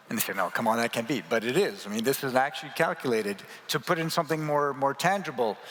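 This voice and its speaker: Noticeable background noise accompanies a man talking at a very fast pace. He has a medium pitch, lively intonation, and a North American accent. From Canada. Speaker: transport association executive. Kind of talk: panel discussion. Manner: animated.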